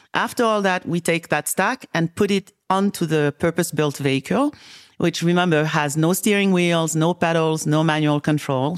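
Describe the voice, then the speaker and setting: At a moderate pace and very even loudness, a woman with a West African French accent speaks in a fairly low voice with ordinary pitch variation, the sound dry and close with no echo on a very clean recording with a silent background. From Senegal, West Africa. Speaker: tech company CEO. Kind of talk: casual interview conversation. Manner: hesitant, many fillers.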